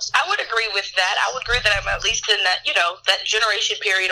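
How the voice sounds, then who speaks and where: With a fairly high pitch and fairly even intonation, a woman races along at a very fast pace against noticeable background noise. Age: 20s. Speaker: podcast guest. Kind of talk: casual chat.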